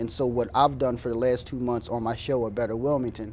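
A man speaks with an American accent and fairly even intonation. There is light background noise. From US Mid-Atlantic. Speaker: city council candidate. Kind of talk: call-in show. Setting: studio. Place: studio.

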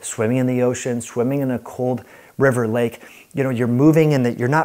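The speaker is a man with a dark, mellow tone. He talks in a monotone, flat intonation against a quiet background. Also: fairly quick pace. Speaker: health educator. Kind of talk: whiteboard lecture to camera. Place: home room. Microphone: lapel.

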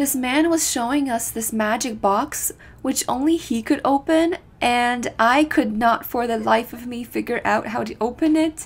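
Ordinary pitch variation marks this woman's high voice. She speaks at a fairly slow pace. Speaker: travel vlogger narrating. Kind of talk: casual vlog narration.

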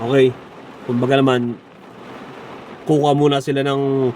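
A man speaks at a fairly high pitch in a monotone, flat intonation. Noticeable background noise sits behind him. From Philippines. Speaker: vlogger. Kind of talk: casual vlog. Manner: halting.

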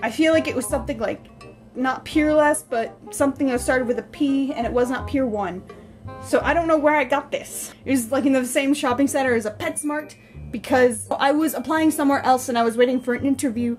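Over faint music in the background, a woman talks at a fairly quick pace with a high pitch and fairly even intonation. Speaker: vlogger showing a mug collection. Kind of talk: casual talk to camera. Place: kitchen. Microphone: phone near.

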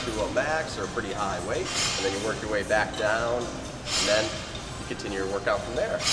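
Clear music sounds in the background. The speaking pace is moderate. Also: man. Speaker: fitness trainer. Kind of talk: tutorial. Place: gym. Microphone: camera far.

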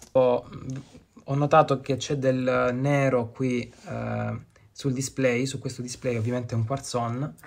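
Speaking at a fairly slow pace with long, frequent pauses, a man keeps a monotone, flat intonation at medium pitch. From Lecce, southern Italy. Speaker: watch collector. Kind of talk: recorded video presentation.

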